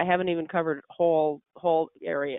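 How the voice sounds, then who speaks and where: A woman's very deep, low voice with fairly even intonation. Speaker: specification writer and product selection consultant. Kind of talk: webinar presentation. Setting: online webinar. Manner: fast.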